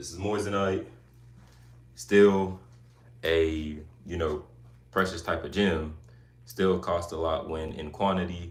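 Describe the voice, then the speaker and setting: A man speaks very slowly at a very deep, low pitch, somewhat breathy, with fairly even intonation and long, frequent pauses. His loudness swings widely, and the room echoes audibly. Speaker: YouTuber live streamer. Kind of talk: casual live stream chat. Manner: casual, chatty.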